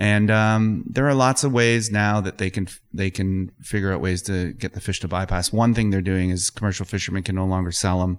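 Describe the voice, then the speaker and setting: A man with a Canadian accent talks fairly quickly in a fairly low pitch with fairly even intonation, in a normal speaking voice, on a very clean recording with a silent background. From Ontario, Canada. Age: 50s. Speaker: environmental lawyer and water advocate. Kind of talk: casual interview. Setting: studio.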